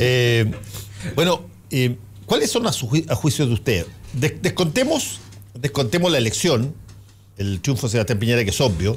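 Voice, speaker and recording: Somewhat breathy speech with lively intonation and long, frequent pauses. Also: man, medium pitch for a man, moderate pace. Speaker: radio host. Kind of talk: radio panel discussion.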